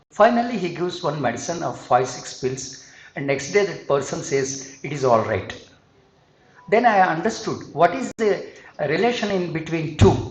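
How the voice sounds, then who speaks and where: A high-voiced man speaks with very wide pitch swings and big jumps in loudness, amid noticeable background noise and audible room echo. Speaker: singer and psychology speaker. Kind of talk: conference talk.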